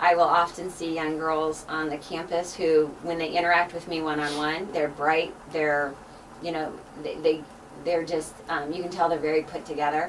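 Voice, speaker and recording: Noticeable background noise sits behind a woman whose very deep, low voice stays monotone and flat. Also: moderate pace. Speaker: math instructor. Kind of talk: casual interview. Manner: loud.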